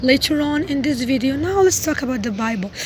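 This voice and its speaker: A woman's high-pitched voice with a non-native accent, ordinary pitch variation and a fairly quick pace, over noticeable background noise. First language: not English. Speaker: religious video vlogger. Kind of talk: casual monologue. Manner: halting, self-correcting.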